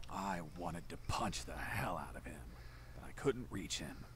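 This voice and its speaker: A man whispers in a put-on character voice at a moderate pace. Background noise is clearly audible. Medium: video game. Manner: dry, sarcastic.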